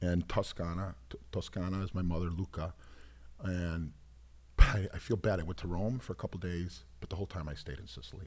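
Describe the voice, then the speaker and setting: A man's very deep, low voice carries vocal fry and ordinary pitch variation. His loudness swings a lot. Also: fairly quick pace. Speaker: singer. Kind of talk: casual chat. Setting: studio. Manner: animated.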